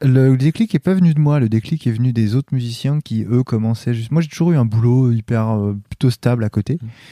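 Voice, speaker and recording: Against a silent background in a very clean recording, a man speaks at a medium pitch with a dark, mellow tone and ordinary pitch variation. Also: fairly quick pace. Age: 30s. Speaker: music producer and therapist. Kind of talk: casual interview.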